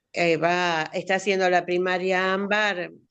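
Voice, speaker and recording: A woman's bright, sharp tone at a fairly slow pace over a quiet background. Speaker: writing workshop participant. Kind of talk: casual chat.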